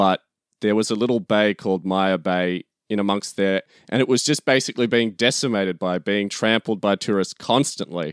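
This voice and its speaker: With an Australian accent, a man talks at a moderate pace in a fairly low voice with ordinary pitch variation and very even loudness, recorded very cleanly against a silent background with a dry, close sound and no echo. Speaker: podcast co-host, guest. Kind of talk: casual chat. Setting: at home, noisy neighbor.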